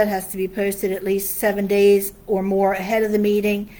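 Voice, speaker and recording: Noticeable background noise and audible room echo surround a woman speaking at a medium pitch with an American accent. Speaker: town official presenting to council. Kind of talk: public meeting presentation. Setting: town council meeting room. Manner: fast.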